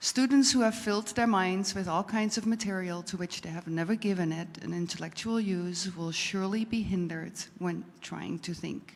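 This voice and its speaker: With a Dutch accent, a woman speaks at a moderate pace in a medium pitch. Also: ordinary pitch variation, hardly any pauses. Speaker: audience member. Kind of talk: reading aloud.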